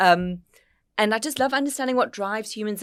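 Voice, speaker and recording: Very wide pitch swings mark this woman's voice, in an American accent. The recording is very clean, with a silent background. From South Africa, Cape Town. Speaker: business network co-founder and podcast host. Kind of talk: casual podcast conversation. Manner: animated.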